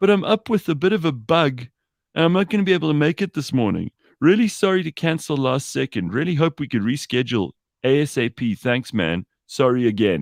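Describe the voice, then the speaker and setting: A whiny, put-on character voice moves at a fairly quick pace with very wide pitch swings. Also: man, fairly high pitch for a man. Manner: pathetic, apologetic.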